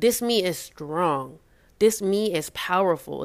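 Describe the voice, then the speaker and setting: A woman talks in a plain, everyday voice with fairly low pitch and ordinary pitch variation. The recording is very clean, with a silent background. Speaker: spoken word poet. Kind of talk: spoken word poetry. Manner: rhythmic, emotive, reflective.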